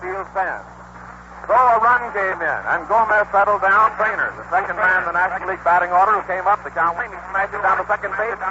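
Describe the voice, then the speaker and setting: A man with an American accent talks at a fairly quick pace and a high pitch. Noticeable background noise runs behind him. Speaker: radio sports announcer. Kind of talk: live radio baseball play-by-play commentary. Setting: vintage 1930s radio broadcast recording from a stadium. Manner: excited, rapid-fire, enthusiastic.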